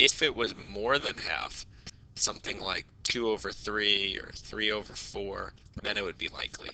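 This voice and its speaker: With ordinary pitch variation and a fairly low pitch, a man speaks at a moderate pace in an unremarkable speaking voice. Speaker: math teacher. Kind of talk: tutorial. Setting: recording from home.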